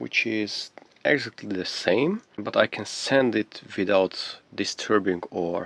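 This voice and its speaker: A man talks with a non-native accent in a dry, close sound with no echo. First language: not English. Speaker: electronics hobbyist YouTuber. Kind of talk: tutorial. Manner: halting, with frequent fillers.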